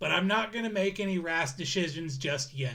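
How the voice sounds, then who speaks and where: A man uses a put-on character voice. He pitches it high. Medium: actual play. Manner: polite, hesitant.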